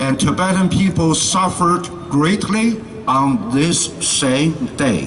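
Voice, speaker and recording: Amid noticeable background noise and audible room echo, a man speaks very slowly at a high pitch. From China. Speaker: activist interpreter. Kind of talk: consecutive interpreting at rally. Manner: halting.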